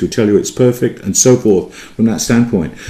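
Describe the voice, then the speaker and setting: This man talks fairly quickly. His speech has an English accent. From England. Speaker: Greek teacher. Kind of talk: lecture. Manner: halting, many fillers and restarts.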